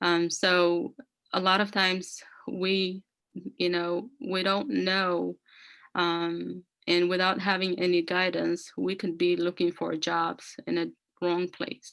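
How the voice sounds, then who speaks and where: Speaking very slowly in an Ethiopian accent, the voice stays monotone and flat against a quiet background. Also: woman, fairly low pitch for a woman. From Ethiopia, rural north. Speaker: career speaker sharing immigrant story. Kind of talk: personal testimony. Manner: halting, many fillers (um, you know).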